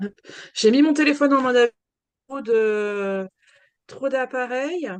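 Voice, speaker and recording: A woman high in pitch at a fairly slow pace, in a dry, close sound with no echo. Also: ordinary pitch variation. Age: 40s. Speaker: lithotherapist. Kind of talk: interview.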